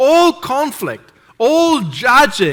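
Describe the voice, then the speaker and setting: In a raised, projected voice with a bright, sharp tone, a man speaks with a non-native accent. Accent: foreign. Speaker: preacher. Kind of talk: sermon. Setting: church.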